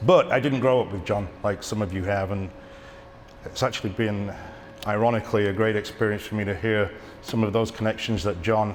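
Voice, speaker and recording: There is noticeable background noise and audible room echo as a man talks with fairly low pitch and fairly even intonation. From England. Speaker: cinematographer and editor, eulogy speaker. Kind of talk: eulogy speech. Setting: theatre stage with audience. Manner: halting.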